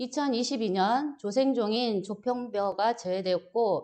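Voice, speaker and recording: A woman speaks very slowly at a fairly high pitch. Her pitch varies in an ordinary way. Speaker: agricultural extension instructor. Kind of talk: lecture.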